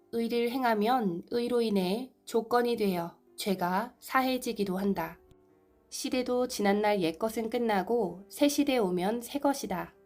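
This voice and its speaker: Music plays in the background as a woman with a fairly high pitch speaks at a very slow pace. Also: ordinary pitch variation. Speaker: amateur narrator, video maker. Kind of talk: sermon text reading.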